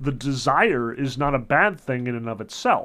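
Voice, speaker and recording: Over a quiet background, a man with a medium pitch speaks in an animated tone at a moderate pace. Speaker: literature lecturer. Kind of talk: lecture. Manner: casual, many filler words; opinionated, animated.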